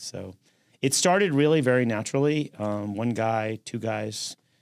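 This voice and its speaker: Speaking with a New York accent, a man uses a medium pitch and ordinary pitch variation. The recording is very clean, with a silent background and a dry, close sound with no echo. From New York City, Manhattan. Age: 60s. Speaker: construction company founder. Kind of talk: interview.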